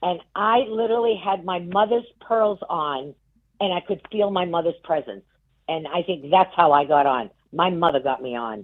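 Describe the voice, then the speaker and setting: In a New England accent, a woman speaks at a moderate pace with a fairly low pitch. Her tone is animated and her intonation lively. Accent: New England, non-rhotic. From Massachusetts (Worcester). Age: 60s. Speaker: game show contestant. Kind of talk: casual chat.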